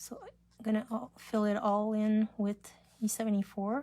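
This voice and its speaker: Here a woman is speaking. Her pitch is fairly high. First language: French. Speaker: craft demonstrator. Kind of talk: live craft tutorial. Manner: casual, halting.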